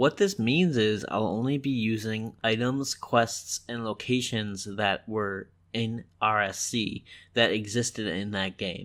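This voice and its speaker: In a very clean recording with a silent background, a man with a plain, everyday voice speaks at a fairly slow pace and fairly low pitch, with ordinary pitch variation. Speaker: gaming commentator. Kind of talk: video game commentary.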